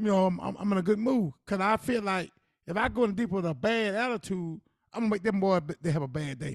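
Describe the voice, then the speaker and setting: A man talks at a very fast pace in a high pitch. His pitch varies in an ordinary way. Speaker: podcast co-host. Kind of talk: casual chat.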